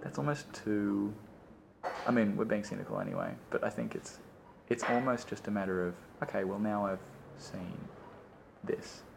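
A man's fairly low voice at a moderate pace, with ordinary pitch variation, long, frequent pauses and noticeable background noise. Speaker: friend chatting over tea. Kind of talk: casual chat.

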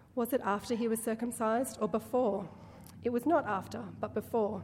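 A woman speaks with vocal fry and a dark, mellow tone. Her pace is moderate. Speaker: scripture reader. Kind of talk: reading aloud. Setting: church.

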